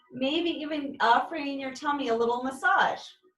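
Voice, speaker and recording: With music in the background and audible room echo, a woman talks at a moderate pace. Her high-pitched voice has lively intonation. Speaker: yoga instructor. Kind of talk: guided yoga class. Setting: video call.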